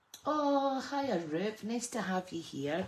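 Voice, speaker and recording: A woman's voice with vocal fry. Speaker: card making crafter. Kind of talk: live stream tutorial. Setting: craft room live stream. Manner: casual, chatty.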